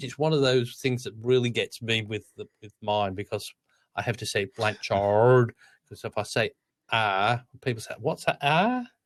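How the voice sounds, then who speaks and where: With an Australian accent, a medium-pitched man speaks at a moderate pace with fairly even intonation and big swings in loudness, in a very clean, dry, close recording with no echo and a silent background. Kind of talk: English.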